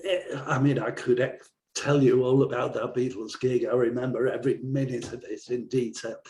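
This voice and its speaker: A man speaks with an English accent at a medium pitch. His voice is somewhat breathy, and his intonation stays fairly even. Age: 60s. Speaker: songwriter and rock school owner. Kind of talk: interview.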